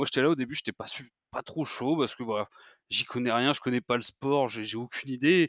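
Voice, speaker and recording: A man's normal speaking voice at medium pitch, fairly quick in pace, with fairly even intonation. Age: 20s. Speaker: American football fan account runner. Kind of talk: casual chat.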